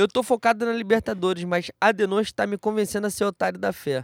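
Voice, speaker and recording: Here a man speaks with a high pitch at a fairly quick pace, with ordinary pitch variation. The recording is very clean with a silent background and has a dry, close sound with no echo. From Rio de Janeiro, Brazil. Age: 20s. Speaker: football podcast co-host. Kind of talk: casual chat.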